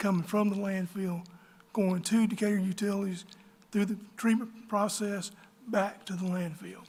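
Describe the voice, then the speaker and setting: A man with an Alabama accent, high pitch, monotone, flat intonation and a moderate pace. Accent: Southern US (Alabama). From US South, northern Alabama. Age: 60s. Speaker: local business owner. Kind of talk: public meeting speech.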